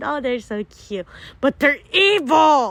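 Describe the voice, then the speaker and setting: A woman speaks in an animated tone. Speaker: travel vlogger. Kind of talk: vlog narration. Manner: loud.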